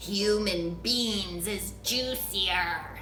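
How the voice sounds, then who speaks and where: A put-on character voice sounds female and booming. Background noise is clearly heard. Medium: read story. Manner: coarse, bullying.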